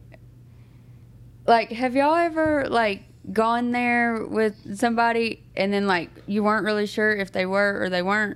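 In a Southern US accent, a woman speaks at a moderate pace with a fairly high pitch and ordinary pitch variation. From US South. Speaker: podcast co-host. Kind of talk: casual chat. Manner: laughs often.

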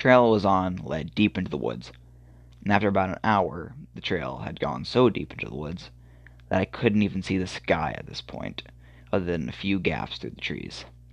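At a moderate pace, a man with a very deep, low pitch and vocal fry makes very wide pitch swings and big swings in loudness. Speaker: horror story podcaster. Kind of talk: reading aloud. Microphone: phone recording, poor equipment.

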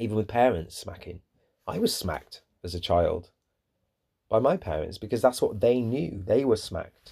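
A man's medium-pitched, somewhat breathy voice, dark and mellow, at a moderate pace with lively intonation and long, frequent pauses, on a very clean recording with a silent background. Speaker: podcast host. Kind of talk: unscripted monologue. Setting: solo podcast recording. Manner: halting, many pauses.

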